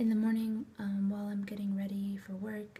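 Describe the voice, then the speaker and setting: Soft-spoken and somewhat breathy, a woman talks at medium pitch in a dark, mellow tone. Her intonation stays monotone and flat. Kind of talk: ASMR unboxing talk to camera.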